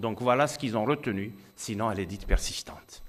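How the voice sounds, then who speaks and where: Speaking in an Algerian accent, a man talks at a moderate pace and medium pitch on a very clean recording with a silent background. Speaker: physician speaking at medical congress. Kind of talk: conference talk. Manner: hesitant, repeats words.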